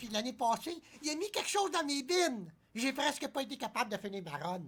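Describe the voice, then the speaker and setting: This is a cartoonish character voice pitched high. It moves at a fairly quick pace. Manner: indignant, earnest.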